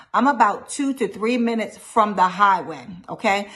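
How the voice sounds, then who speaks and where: A woman talks at a moderate pace and a fairly high pitch. Her tone is animated. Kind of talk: personal testimony.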